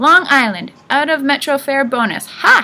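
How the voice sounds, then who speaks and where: In a put-on character voice, a woman speaks high, shrill and raised, projecting at a moderate pace with ordinary pitch variation. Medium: read story. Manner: quarrelsome.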